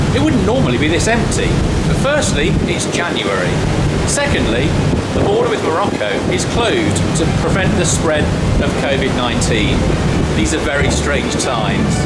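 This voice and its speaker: Over music in the background, a man talks at a moderate pace. He leaves long, frequent pauses. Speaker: travel vlogger. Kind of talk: travel commentary. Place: boat. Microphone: phone near.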